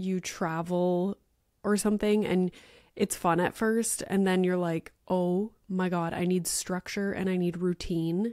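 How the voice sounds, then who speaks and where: A woman speaks at a fairly slow pace with fairly even intonation. The background is quiet and the sound is dry with no echo. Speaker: podcast host. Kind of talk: casual podcast monologue. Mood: chatty, lightly joking. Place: home room. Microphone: studio mic.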